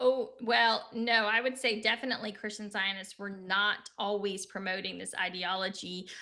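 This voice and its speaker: Her tone is bright and sharp, with big swings in loudness. The woman keeps a medium pitch and fairly even intonation. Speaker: political talk show co-host. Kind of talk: casual live-stream discussion. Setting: live stream. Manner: fast.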